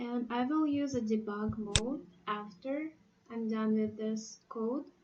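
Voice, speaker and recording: At a very slow pace, a woman talks in a fairly high pitch with ordinary pitch variation. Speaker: programming tutor. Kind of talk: tutorial. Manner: halting.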